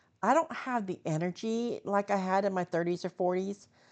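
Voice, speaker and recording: This woman has a normal speaking voice at medium pitch, with ordinary pitch variation. She talks at a moderate pace over a quiet background. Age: 60s. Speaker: vlogger. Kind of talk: casual talk to camera.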